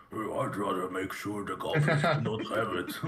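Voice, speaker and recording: Moderate pace and medium pitch in a man's put-on character voice. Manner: rough, menacing.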